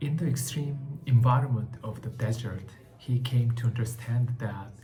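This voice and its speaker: A man with a Korean accent talks at a medium pitch in a dark, mellow, somewhat breathy voice. His intonation stays fairly even, and the room echo is audible. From South Korea. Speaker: book vlogger. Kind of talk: book review talk. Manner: halting, many fillers.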